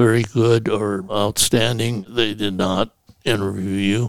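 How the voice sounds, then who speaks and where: A man with an American accent, at medium pitch and a very slow pace. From US Central Valley, California. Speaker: retired judge. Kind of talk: interview recounting life story. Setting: recorded at his home.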